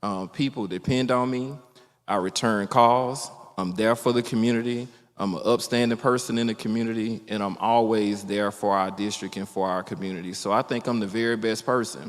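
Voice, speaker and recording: Fairly quick speech with an Alabama accent and fairly even intonation. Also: man, medium pitch for a man. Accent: US South (Alabama). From Alabama, Mobile County. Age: 40s. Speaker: politician, state legislator. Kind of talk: candidate forum speech. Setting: public forum with audience.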